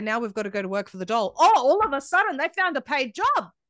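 A woman with an Australian accent, high pitch and very wide pitch swings, in a dry, close sound with no echo and a quiet background. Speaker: independent media founder. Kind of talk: interview conversation.

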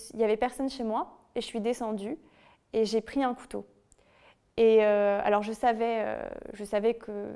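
A dark, mellow tone with fairly even intonation at a moderate pace, on a very clean recording with a silent background. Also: woman. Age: 20s. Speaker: author and former bullying victim. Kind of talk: testimony.

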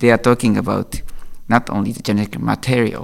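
The speaker uses a Japanese accent and keeps a moderate pace. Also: man. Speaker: IP lawyer. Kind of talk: interview. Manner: halting.

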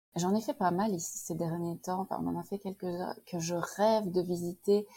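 In a very clean recording with a silent background, a woman with a Belgian accent talks at a moderate pace in a dark, mellow tone with fairly even intonation. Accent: soft Belgian. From Belgium, Liège. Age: 40s. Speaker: immigrant. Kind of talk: interview testimony. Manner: hesitant with fillers.

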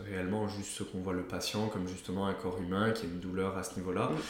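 A man's very deep, low voice comes in a monotone, flat intonation, with audible room echo and noticeable background noise. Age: 20s. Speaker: osteopath. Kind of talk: casual interview. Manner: hesitant, many fillers.

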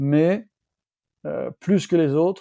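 In a dry, close recording with no echo, a man talks at a fairly slow pace with a dark, mellow tone and ordinary pitch variation. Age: 50s. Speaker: entrepreneur, founder of a renovation company. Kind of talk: interview.

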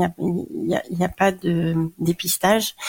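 The voice belongs to a woman. Her sound is close and dry, without any echo. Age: 40s. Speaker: cancer patient and patient advocate. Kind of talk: testimony. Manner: hesitant, many fillers.

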